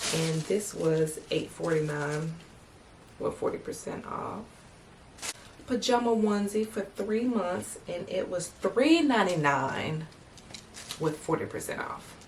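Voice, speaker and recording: A woman speaks at a fairly slow pace with lively intonation and long, frequent pauses. Audible room echo and noticeable background noise fill the recording. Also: medium pitch for a woman. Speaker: vlogger. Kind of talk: casual vlog talk to camera. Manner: animated.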